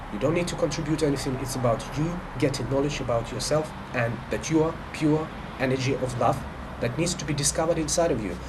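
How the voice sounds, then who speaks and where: With audible room echo and noticeable background noise, a man talks at a very fast pace in a fairly high pitch with ordinary pitch variation. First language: Russian. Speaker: spiritual life coach. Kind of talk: monologue to camera. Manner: halting, many fillers and restarts.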